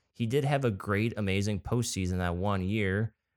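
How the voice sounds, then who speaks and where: This man has a plain, everyday voice and an American accent, speaking at a fairly quick pace with fairly low pitch and fairly even intonation. The very clean recording has a silent background and a dry, close sound with no echo. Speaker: podcast co-host. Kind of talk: casual chat.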